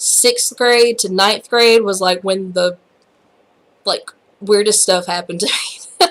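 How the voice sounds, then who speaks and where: In a Southern US accent, a woman speaks with an animated tone at a fairly high pitch and a fairly slow pace, using ordinary pitch variation. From US South. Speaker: YouTuber. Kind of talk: casual vlog chat. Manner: animated, rambling with many fillers.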